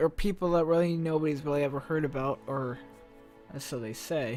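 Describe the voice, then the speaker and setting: A woman talks while music plays in the background. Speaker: YouTube commentator. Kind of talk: casual commentary to camera. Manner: hesitant, many fillers.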